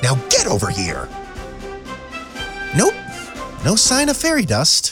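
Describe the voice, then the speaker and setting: A cartoonish character voice at a fairly slow pace, with faint music in the background. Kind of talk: comic overacting. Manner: vain, playful, excitable.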